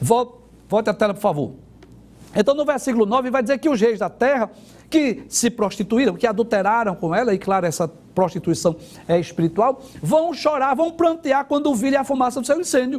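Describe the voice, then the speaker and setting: The intonation is lively. The pace is moderate. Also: man, extremely high pitch for a man. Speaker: Bible teacher on TV/radio program. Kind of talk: Bible teaching program.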